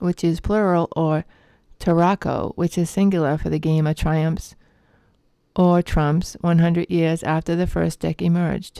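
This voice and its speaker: With a Boston accent, a woman talks at a fairly slow pace in a dark, mellow tone with monotone, flat intonation and very even loudness, in a very clean recording with a silent background and a dry, close sound with no echo. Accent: Boston-area New England. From Massachusetts (Lowell). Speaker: tarot teacher. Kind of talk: reading aloud. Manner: halting.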